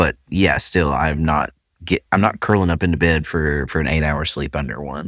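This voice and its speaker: A man with a Southern Appalachian accent speaks at a moderate pace in a very deep, low voice with vocal fry, recorded dry and close with no echo on a very clean track with a silent background. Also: ordinary pitch variation. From Central Appalachia. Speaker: podcast host. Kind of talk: casual podcast conversation.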